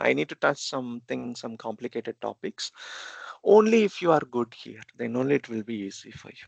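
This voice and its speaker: Speaking at a fairly quick pace with an Indian accent, a man uses lively intonation at a medium pitch, and the sound is dry and close with no echo. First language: Telugu. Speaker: programming instructor. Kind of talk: lecture. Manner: halting.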